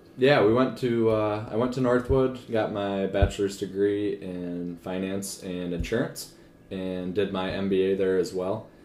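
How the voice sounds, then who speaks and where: A man with an American accent speaks at a fairly slow pace and fairly low pitch, with fairly even intonation. He barely pauses, and audible room echo surrounds him. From northern Michigan, US. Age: 20s. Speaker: financial advisor. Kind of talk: casual interview chat. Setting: home kitchen.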